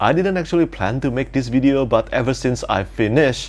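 A man with vocal fry talks at a moderate pace with lively intonation. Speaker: book reviewer. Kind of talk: casual vlog chat. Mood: enthusiastic. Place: home room. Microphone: lapel.

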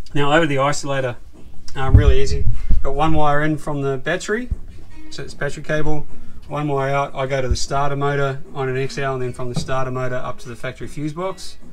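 Faint music plays in the background as a man talks very fast with fairly even intonation. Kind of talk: tutorial. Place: car. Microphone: phone near.

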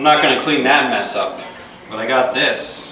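A man speaks at a moderate pace. The room echo is audible and background noise is noticeable. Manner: slurred, tipsy drunk-character talk. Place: hall. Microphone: camera far.

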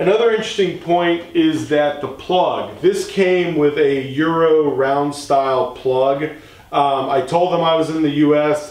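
A man talks fairly slowly with fairly even intonation, and audible room echo surrounds him. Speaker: product reviewer. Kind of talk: product review tutorial. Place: garage.

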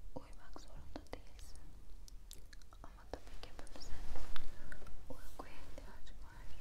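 Whispering in a calm tone, a woman speaks at a fairly slow pace. Her long pauses come often. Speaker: ASMR creator. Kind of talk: ASMR roleplay, personal attention. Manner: soft, calm, close-mic. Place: home room. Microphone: lapel.

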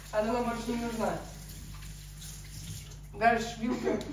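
Audible room echo surrounds a woman talking fairly slowly in a fairly high voice with little pitch movement.

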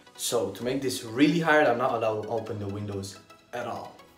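A man talks very fast with ordinary pitch variation and big swings in loudness, while faint music plays in the background and room echo is audible. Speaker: vlogger. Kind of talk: casual vlog chat. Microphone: phone near.

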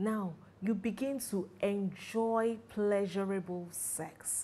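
Speaking at a very slow pace, a woman has a dark, mellow tone, a medium pitch and ordinary pitch variation. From Nigeria. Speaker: sexologist and marriage counselor. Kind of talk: educational talk to camera. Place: home room.

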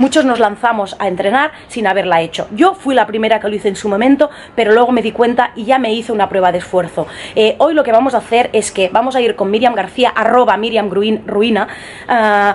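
A woman at a fairly quick pace, ordinary pitch variation, light background noise behind her. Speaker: fitness vlogger. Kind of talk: casual vlog chat. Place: home room. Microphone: phone near.

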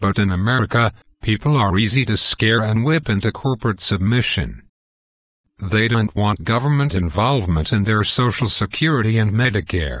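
Over a quiet background, a man performs a raspy put-on character voice at a fairly low pitch, a moderate pace and very even loudness. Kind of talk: comic political parody. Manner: pompous, hostile.

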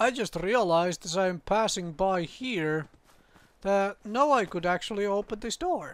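A man speaks at a fairly slow pace with a high pitch and ordinary pitch variation. The recording is very clean, with a silent background. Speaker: gaming video creator. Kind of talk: let's play commentary. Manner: rambling, hesitant with many fillers.

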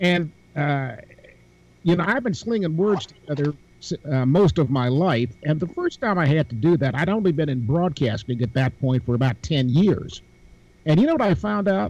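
A man talks at a moderate pace with a fairly high pitch and lively intonation. His voice is somewhat breathy, and the sound is dry with no echo. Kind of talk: casual panel discussion. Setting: video call. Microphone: video call.

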